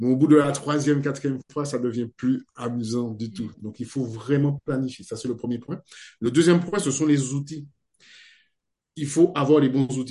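A man's somewhat breathy, dark and mellow voice, fairly high in pitch, with ordinary pitch variation and a moderate pace. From French Guiana. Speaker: video editor and video trainer. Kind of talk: interview.

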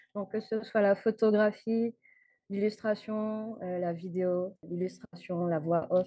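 A woman talks very slowly, her medium-pitched voice holding fairly even intonation. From Guadeloupe. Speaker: motion designer. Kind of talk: interview. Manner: hesitant.

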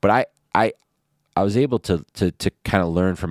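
A man with a Michigan accent, in a dry, close sound with no echo. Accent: Michigan American. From Detroit east side, Michigan. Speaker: podcast host, real estate businessman. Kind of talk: casual chat. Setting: hotel room.

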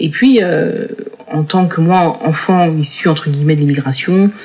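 Over noticeable background noise, a woman speaks with lively intonation. Her pitch is fairly low and her pace fairly slow. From France, Paris region (Seine-Saint-Denis). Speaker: entrepreneur, incubator founder. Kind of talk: interview. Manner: halting, many hesitations and repetitions.

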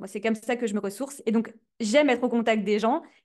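Her pitch is fairly high and her intonation fairly even. The woman is heard over a quiet background. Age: 20s. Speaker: content strategy consultant. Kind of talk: interview. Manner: hesitant, repeats words.

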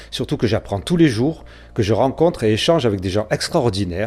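A man with a dark, mellow tone uses lively intonation in a very clean recording with a silent background. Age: 50s. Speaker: podcast host. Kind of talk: appeal to listeners.

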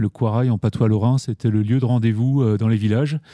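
A dark, mellow tone with a dry, close sound and no echo. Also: man. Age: 40s. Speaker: founder of an ecological business cooperative. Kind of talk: podcast interview. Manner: hesitant, frequent fillers and restarts.

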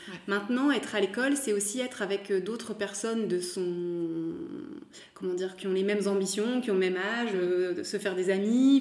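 Over noticeable background noise, a woman talks at a fairly quick pace. Her pitch is medium with ordinary variation. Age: 30s. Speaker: fashion brand founder. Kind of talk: interview. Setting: recorded at the guest's home.

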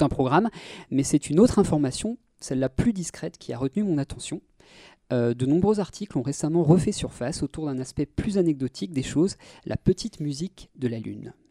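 Delivered at a fairly quick pace, the speech sits on a very clean recording with a silent background. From Brittany, France (Brest). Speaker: film and media columnist. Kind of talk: casual chat. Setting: studio.

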